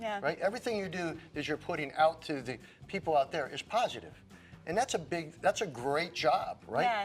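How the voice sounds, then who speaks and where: A man speaks at a moderate pace with an American accent. His pitch swings very widely, and music plays in the background. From United States. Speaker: fitness personality. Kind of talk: interview answer. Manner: enthusiastic, energetic.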